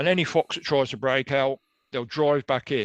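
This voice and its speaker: A man speaks with an English accent. The sound is dry and close with no echo, against a quiet background. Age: 60s. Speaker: animal rights activist. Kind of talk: interview.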